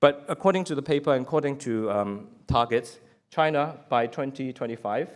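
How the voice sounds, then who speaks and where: Lively intonation marks this man's speech. His pitch sits in the medium range. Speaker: business executive. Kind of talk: panel presentation. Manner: fast.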